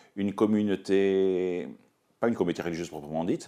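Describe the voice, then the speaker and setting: A man speaks at a moderate pace. His voice is very deep and low, with a dark, mellow tone. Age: 60s. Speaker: Dominican friar and priest. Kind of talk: personal testimony. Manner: halting, many hesitations.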